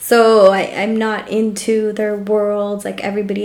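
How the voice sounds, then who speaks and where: A woman with a Californian accent, monotone and flat in intonation, at a moderate pace, with audible room echo. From Los Angeles, Salvadoran family. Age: 30s. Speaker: podcast co-host. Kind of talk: casual chat.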